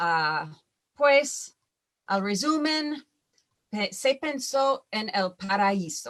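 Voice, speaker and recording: Long, frequent pauses break up a woman's very slow speech. Her fairly high voice swings very widely in pitch. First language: English (speaking Spanish). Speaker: wildfire scientist, panelist. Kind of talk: conference presentation. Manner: halting, many fillers.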